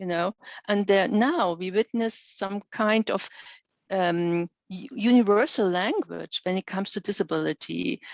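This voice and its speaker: A woman's medium-pitched voice in a German accent, with a dry, close sound and no echo. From Germany. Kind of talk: webinar lecture Q&A. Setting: online webinar. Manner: halting, many fillers.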